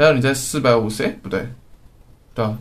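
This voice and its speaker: There is audible room echo and noticeable background noise. A man speaks at a medium pitch with ordinary pitch variation. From Taiwan. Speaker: podcast co-host. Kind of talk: casual chat.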